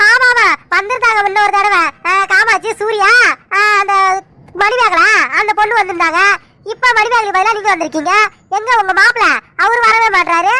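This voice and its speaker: A woman uses a cartoonish character voice at an extremely high pitch. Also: moderate pace. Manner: lively, talkative.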